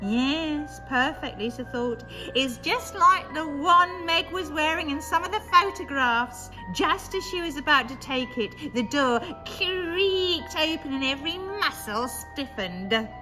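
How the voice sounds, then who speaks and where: Over loud background music, a woman puts on a high-pitched character voice and speaks at a fairly slow pace. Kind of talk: horror story reading. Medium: read story.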